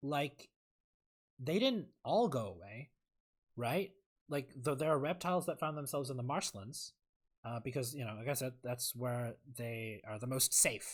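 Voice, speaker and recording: Somewhat breathy speech with an American accent at a fairly slow pace, ordinary pitch variation and long, frequent pauses, on a very clean recording with a silent background. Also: man, medium pitch for a man. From Southeast Asia. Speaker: video essayist, streamer. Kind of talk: casual monologue. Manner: halting, many fillers.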